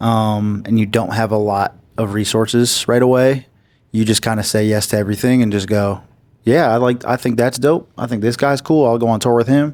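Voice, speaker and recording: A man with an American accent and an ordinary speaking voice talks at a fairly quick pace, his medium-pitched voice keeping very even loudness and fairly even intonation. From Massachusetts. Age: 30s. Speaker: R&B singer. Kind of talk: interview. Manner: casual.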